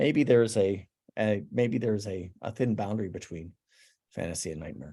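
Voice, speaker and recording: A man's fairly low voice with an American accent, lively intonation and a moderate pace. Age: 60s. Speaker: digital artist. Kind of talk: artist talk presenting work. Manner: halting, many fillers and restarts.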